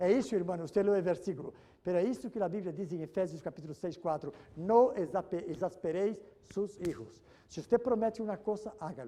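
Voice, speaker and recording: Delivered at a fairly quick pace, this dark, mellow voice shows ordinary pitch variation. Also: man, high pitch for a man. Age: 70s. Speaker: pastor. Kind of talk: sermon. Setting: church. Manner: animated.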